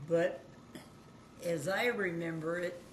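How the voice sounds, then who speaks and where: The speech comes at a very slow pace with audible room echo. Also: woman. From Kansas. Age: 90s. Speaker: grandmother recalling the Great Depression. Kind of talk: oral history interview.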